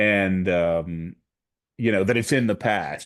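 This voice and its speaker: Against a quiet background, a man speaks in a very deep, low voice. His pitch variation is ordinary. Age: 60s. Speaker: program director and researcher. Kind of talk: Q&A after a presentation. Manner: hesitant, many fillers.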